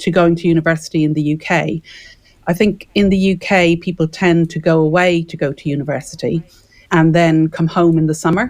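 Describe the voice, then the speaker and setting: Fairly quick and fairly even in intonation, a woman with an Irish accent speaks at a fairly low pitch. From Ireland, Dublin. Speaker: property developer and consultant. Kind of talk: radio interview.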